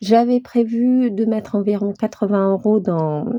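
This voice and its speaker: Her intonation fairly even, a woman at medium pitch speaks at a very slow pace. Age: 40s. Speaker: budgeting vlogger. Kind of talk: casual vlog talk. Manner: hesitant, many filler sounds.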